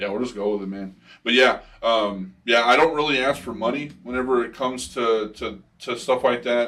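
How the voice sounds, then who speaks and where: Mumbling at a moderate pace, the speaker keeps a fairly even intonation. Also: man, medium pitch for a man. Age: 30s. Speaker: rapper. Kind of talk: casual chat.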